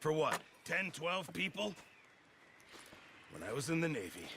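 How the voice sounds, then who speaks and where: Over clear background noise, a man puts on a raspy character voice with fairly high pitch, lively intonation and a moderate pace. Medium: video game. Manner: grumbling, chatty.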